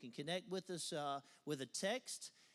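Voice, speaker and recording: This man speaks with a Southern US accent. His pitch varies in an ordinary way. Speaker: pastor. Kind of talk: church service welcome and introduction. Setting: church. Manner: animated.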